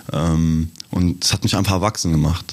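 A man's very deep, low voice at a moderate pace. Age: 20s. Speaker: professional basketball player. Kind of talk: casual interview.

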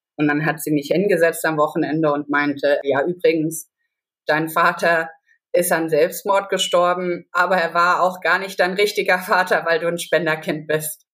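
Speech moves at a moderate pace. It's a very clean recording with a silent background. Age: 20s. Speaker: biologist. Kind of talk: personal testimony in interview.

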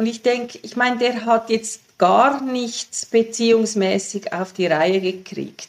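Speaking very slowly with hardly any pauses, a woman uses a fairly high pitch and fairly even intonation, her loudness swinging widely. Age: 60s. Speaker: sexologist and author. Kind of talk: interview. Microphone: poor sound quality.

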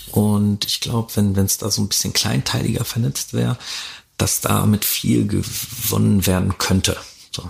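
Amid noticeable background noise, a man with a fairly low pitch speaks at a fairly slow pace with lively intonation. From Germany, Ruhr area (Dortmund). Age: 30s. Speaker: DJ and event organizer. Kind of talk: interview, casual chat. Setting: concert venue, on location.

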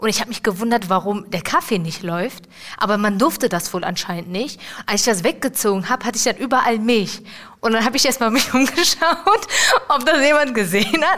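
Over noticeable background noise, a woman with a fairly high pitch talks fairly quickly, her pitch swinging very widely. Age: 20s. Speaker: apprentice in dialogue marketing. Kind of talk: casual interview. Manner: halting.

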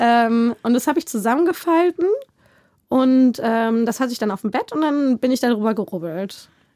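Recorded dry and close with no echo, a woman's high voice carries a dark, mellow tone. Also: lively intonation, moderate pace. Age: 20s. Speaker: podcast interviewee. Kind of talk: casual chat.

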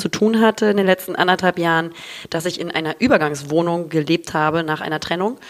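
Talking at a very fast pace, a woman with a fairly low pitch shows ordinary pitch variation. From Hamburg, northern Germany. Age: 30s. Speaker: content creator and podcaster. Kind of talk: casual chat. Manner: animated.

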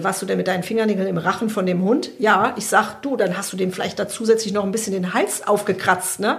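A woman talking very fast, with audible room echo and noticeable background noise. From Germany, Hesse (Frankfurt area). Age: 50s. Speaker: veterinarian.

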